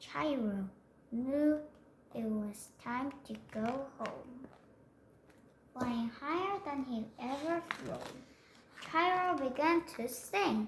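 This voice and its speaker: A woman at a high pitch, lively in intonation, very slow with long, frequent pauses. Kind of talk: bedtime story. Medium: read story. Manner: soft, gentle, unhurried.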